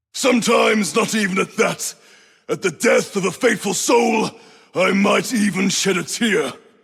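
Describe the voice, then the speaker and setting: A man puts on a high-pitched character voice with a solemn tone. His loudness stays very even. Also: moderate pace. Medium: video game. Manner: solemn, preaching.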